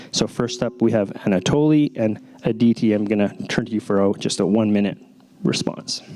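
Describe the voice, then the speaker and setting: A man speaks at a fairly quick pace in a fairly low voice, with ordinary pitch variation and very even loudness over noticeable background noise. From Latin America. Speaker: panel moderator. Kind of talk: panel moderation.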